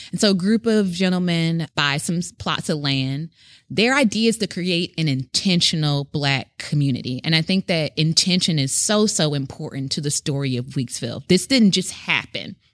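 Speaking with an American accent, a woman has a plain, everyday voice at a fairly low pitch, with lively intonation, a moderate pace and hardly any pauses, on a very clean recording with a silent background and a dry, close sound with no echo. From US South, Memphis, Tennessee. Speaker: educator at a heritage center. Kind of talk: historical storytelling; casual conversation. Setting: on location at a historic site.

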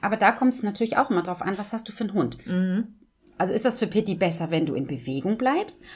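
A woman speaks very fast at a medium pitch, with lively intonation. Vocal fry creeps into her voice. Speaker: dog trainer. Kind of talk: casual chat. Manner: laughs often.

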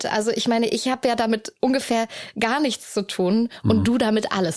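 An unremarkable speaking voice goes at a fairly quick pace. Its pitch varies in an ordinary way. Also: woman. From Hamburg, northern Germany. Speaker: podcast host. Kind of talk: casual interview chat. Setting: in person, sitting in an armchair in Hamburg.

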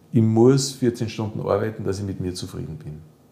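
At a fairly slow pace, the voice comes out somewhat breathy with a dark, mellow tone. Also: man. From Austria, Salzburg. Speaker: physiotherapist and psychotherapist. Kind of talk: interview. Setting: therapy practice.

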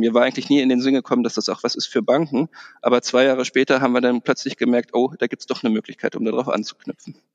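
This man talks at a very fast pace with a medium pitch, and the sound is dry and close with no echo. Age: 40s. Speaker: bank manager. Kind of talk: interview. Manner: hesitant, many fillers.

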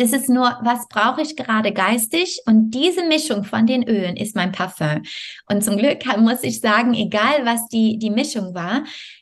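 A woman with a non-native accent speaks in a somewhat breathy, fairly high voice at a moderate pace with ordinary pitch variation. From Canada, Montreal. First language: not German (speaking German). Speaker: yoga teacher and health coach. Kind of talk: interview.

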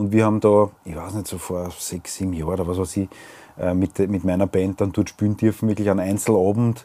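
A man talks at a fairly quick pace, his pitch fairly low and his tone dark and mellow. His intonation stays monotone and flat. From Austria, Weinviertel. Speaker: singer-songwriter and podcast host. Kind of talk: casual chat.

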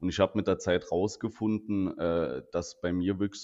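Here a man speaks with a very deep, low pitch. His intonation stays fairly even. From Saarland, Germany. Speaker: insurance agent and podcast co-host. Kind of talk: casual chat.

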